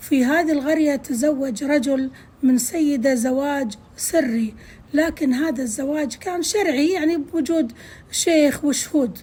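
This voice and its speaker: Her voice is high-pitched, with a dark, mellow tone. The woman speaks very slowly with ordinary pitch variation. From Kuwait. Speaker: storyteller. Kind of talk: folk tale narration.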